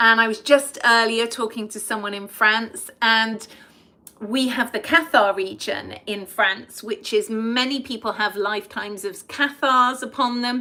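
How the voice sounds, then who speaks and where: A woman with an English accent, bright, sharp tone, fairly high pitch, fairly slow pace and fairly even intonation. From England. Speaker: past life regression therapist. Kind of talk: live stream talk to viewers.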